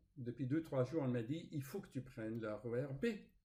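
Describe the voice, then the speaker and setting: A man speaks with a non-native accent. His tone is dark, mellow and somewhat breathy. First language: not French (speaking French). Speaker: spiritual author and YouTuber. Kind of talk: casual vlog storytelling. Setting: home recording with screen recorder. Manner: hesitant, with fillers and repetitions.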